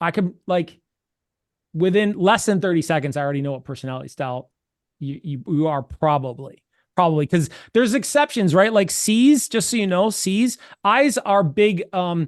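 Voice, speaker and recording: A man with an American accent speaks at a moderate pace in a high pitch, with very wide pitch swings. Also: quiet background. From New York. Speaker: sales coach. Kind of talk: training session.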